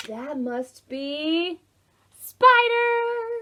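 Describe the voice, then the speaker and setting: A woman's put-on character voice, extremely high in pitch, with very wide pitch swings. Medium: read story.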